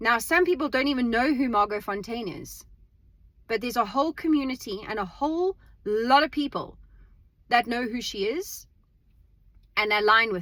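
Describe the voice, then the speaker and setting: A woman's high, bright, sharp voice at a moderate pace, with big swings in loudness and long, frequent pauses. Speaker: vlogger. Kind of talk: casual monologue. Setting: in a car. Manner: halting repetitions.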